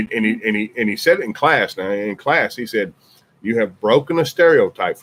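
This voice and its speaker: A man with a strong Southern US accent, lively intonation and a fairly quick pace. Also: big swings in loudness. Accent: deep Southern. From US South, Birmingham, Alabama. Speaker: podcast host, military veteran. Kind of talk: casual chat.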